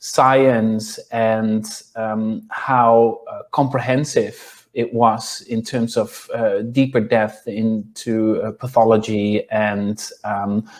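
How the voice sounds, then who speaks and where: A man with a Dutch accent speaks very slowly, with hardly any pauses. His medium pitch stays monotone and flat. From Netherlands. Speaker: clinical nutritionist and yoga teacher. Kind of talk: interview. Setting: podcast. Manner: halting, many fillers.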